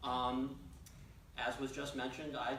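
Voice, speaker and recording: A man with an American accent speaks at a medium pitch with fairly even intonation. Noticeable background noise and audible room echo are present. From New York City. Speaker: economist. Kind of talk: presentation. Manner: halting, many fillers.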